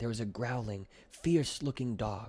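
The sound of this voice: A man at a medium pitch and fairly slow pace, slightly mellow in tone with a slightly husky edge and ordinary pitch variation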